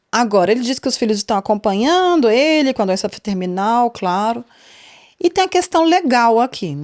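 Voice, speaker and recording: Recorded very cleanly against a silent background, a woman speaks at a moderate pace in a fairly high, animated voice with very wide pitch swings and a dry, close sound with no echo. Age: 30s. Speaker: podcast host. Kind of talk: casual podcast commentary. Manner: chatty, animated.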